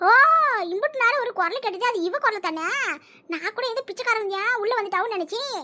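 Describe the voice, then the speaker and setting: A woman uses a cartoonish character voice pitched extremely high. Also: moderate pace, lively intonation. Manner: loud, blunt, colloquial.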